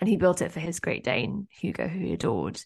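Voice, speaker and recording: A woman speaks with a fairly low pitch and vocal fry. The sound is dry and close, with no echo. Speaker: entrepreneurship coach and founder. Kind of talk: interview conversation.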